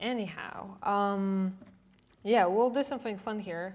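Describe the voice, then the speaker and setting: The speech comes at a very slow pace with fairly even intonation. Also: woman. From Poland. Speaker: designer and developer, conference speaker. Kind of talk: conference talk. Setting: stage with audience. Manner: casual, with many fillers.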